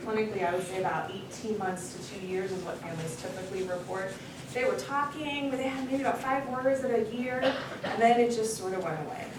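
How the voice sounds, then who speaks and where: A woman with a medium-pitched voice talks at a fairly quick pace amid noticeable background noise and audible room echo. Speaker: clinical psychologist. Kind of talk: lecture. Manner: fast.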